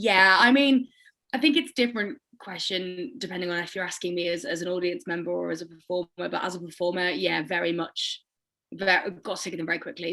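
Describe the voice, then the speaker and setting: A woman talks at a fairly quick pace with lively intonation. Her pitch sits in the medium range. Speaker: singer-songwriter. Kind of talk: casual chat. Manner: loud.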